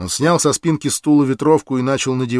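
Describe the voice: Fairly even intonation in plain reading aloud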